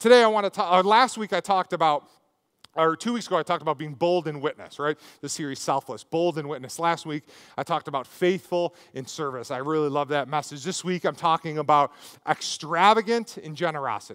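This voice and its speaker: Over a quiet background, a man speaks at a fairly quick pace. His pitch variation is ordinary. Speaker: preacher. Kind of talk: sermon. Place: stage. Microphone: headset.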